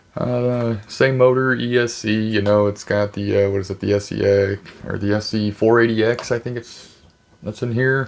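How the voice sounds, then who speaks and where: This is a man speaking at a medium pitch. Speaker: RC hobby YouTuber. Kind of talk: unboxing review. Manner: hesitant, many fillers.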